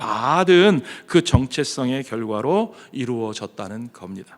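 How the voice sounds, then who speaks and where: A man is speaking. His pace is very slow. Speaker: pastor. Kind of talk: sermon. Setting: church.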